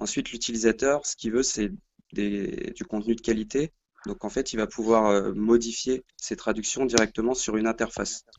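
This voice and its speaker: Medium in pitch for a man, this is an ordinary speaking voice with ordinary pitch variation. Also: moderate pace. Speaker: plugin co-founder, developer. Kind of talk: casual chat. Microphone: weak signal, quiet.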